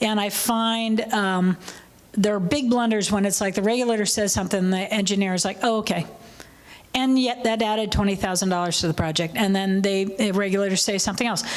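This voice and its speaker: A woman with a medium pitch speaks at a fairly quick pace, her intonation fairly even and her loudness very even. Audible room echo surrounds her voice. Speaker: workshop panelist. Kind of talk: panel discussion Q&A.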